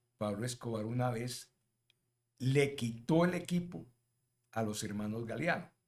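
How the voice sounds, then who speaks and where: A man is speaking. His intonation is lively. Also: long, frequent pauses. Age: 70s. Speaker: football commentator. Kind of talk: casual chat.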